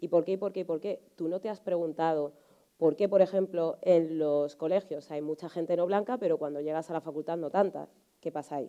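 A woman with a dark, mellow, fairly low voice speaks at a fairly quick pace with fairly even intonation against a quiet background. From Spain, Alcorcón (south of Madrid); Spain. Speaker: journalist and writer; journalist. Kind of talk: panel discussion. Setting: conference hall with audience. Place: stage.

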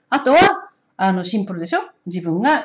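Her pitch fairly low, a woman talks at a fairly quick pace with lively intonation. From Japan. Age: 60s. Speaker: oracle card reader and astrologer; oracle card reader. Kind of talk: solo spiritual card-reading talk. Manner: casual, many hesitation fillers. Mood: calm, warm. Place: home room. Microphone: camera far.

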